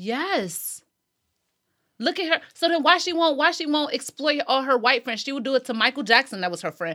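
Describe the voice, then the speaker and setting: Against a silent background in a very clean recording, a woman uses a raised, projected voice with a bright, sharp tone, high pitch, and very wide pitch swings. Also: moderate pace, dry, close sound with no echo. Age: 20s. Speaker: podcast host. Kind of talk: casual chat.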